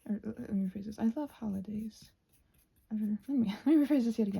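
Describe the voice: A woman's medium-pitched voice with a dark, mellow tone, a husky, rough edge, vocal fry, and lively intonation.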